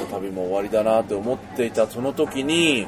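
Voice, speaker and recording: A man talks with lively intonation while clearly audible background noise fills the recording. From Japan, Gunma. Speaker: podcast host, traveler. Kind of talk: casual interview. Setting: cafe.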